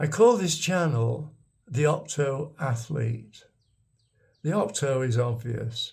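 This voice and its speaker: A man with a Lancashire accent speaks very slowly, his fairly high voice a little breathy. His intonation is lively, broken by long, frequent pauses. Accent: northern English (Lancashire). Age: 80s+. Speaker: vlogger, retired expat. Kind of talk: casual storytelling monologue. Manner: halting, with repetitions.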